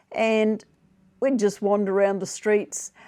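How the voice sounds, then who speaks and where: A woman speaks at a medium pitch with a New Zealand accent. Her tone is dark and mellow, over a quiet background. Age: 70s. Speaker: retiree vlogger. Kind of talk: casual monologue. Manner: halting with fillers and repetitions.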